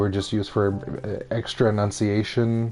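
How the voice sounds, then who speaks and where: A man mumbles at a medium pitch. His intonation is fairly even. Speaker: gaming streamer. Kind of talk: casual chat. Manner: mumbling, stumbling over words; halting.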